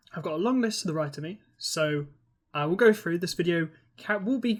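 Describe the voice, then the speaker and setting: Someone with a British accent is heard on a very clean recording with a silent background. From Britain. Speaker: university digital learning tutor. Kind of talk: software tutorial. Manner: casual, with filler words.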